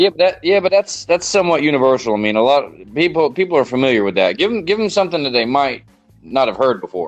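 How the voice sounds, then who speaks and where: Music in the background under a man with a Southern US accent, fairly high-pitched, very fast, with very wide pitch swings. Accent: Southern American. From Southern United States. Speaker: podcast host. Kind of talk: casual podcast conversation.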